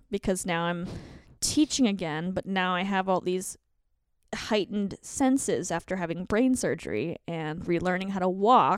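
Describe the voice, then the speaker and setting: A woman with an American accent talks at a moderate pace and medium pitch, with ordinary pitch variation, in an ordinary speaking voice. The sound is dry and close with no echo, in a very clean recording with a silent background. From Colorado, US. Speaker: author and comedian. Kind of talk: casual chat.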